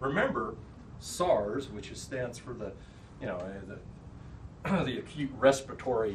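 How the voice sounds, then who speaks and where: Room echo and noticeable background noise surround a man with an American accent talking at a moderate pace. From Kansas. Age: 60s. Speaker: public health officer. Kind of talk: presentation.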